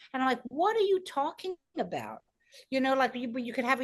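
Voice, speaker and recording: A woman with a New York accent at a moderate pace, against a quiet background. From New York, Brooklyn. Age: 60s. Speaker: stand-up comedian and comedy producer. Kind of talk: interview conversation. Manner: animated; halting.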